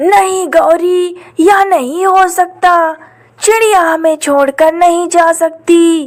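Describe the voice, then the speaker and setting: This is a cartoonish character voice with an extremely high pitch. The delivery moves at a very slow pace. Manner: flustered, excitable.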